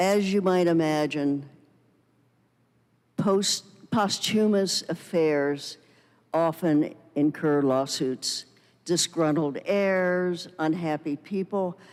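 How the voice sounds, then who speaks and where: Long, frequent pauses at a very slow pace on a very clean recording with a silent background. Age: 70s. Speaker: retired estate attorney. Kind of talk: presentation Q&A.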